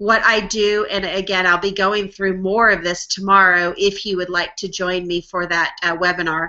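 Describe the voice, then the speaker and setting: This is a plain, everyday voice: a woman at medium pitch with fairly even intonation. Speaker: online marketing trainer. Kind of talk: tutorial. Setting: live webinar screen share. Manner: casual, filler-heavy.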